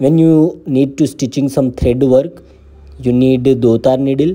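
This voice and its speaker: Speaking with an Indian accent, a man uses a dark, mellow tone at medium pitch and a fairly slow pace. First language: Hindi. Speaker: embroidery teacher. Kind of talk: tutorial. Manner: halting.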